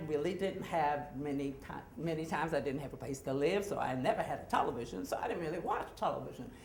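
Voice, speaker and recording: A woman's voice with audible room echo. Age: 60s. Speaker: actor and storyteller. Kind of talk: live storytelling. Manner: casual, halting with fillers.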